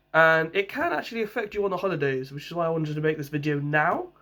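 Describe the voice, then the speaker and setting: Speaking with a London accent, a man uses a high pitch and ordinary pitch variation at a fairly quick pace. The recording is very clean, the background silent. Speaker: vlogger. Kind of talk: casual vlog talk.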